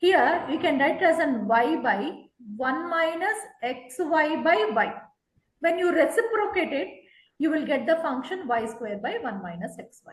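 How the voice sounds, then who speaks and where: A woman speaks at a high pitch with very wide swings, at a fairly slow pace with long, frequent pauses, amid audible room echo. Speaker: math tutor. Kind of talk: online tutoring lesson.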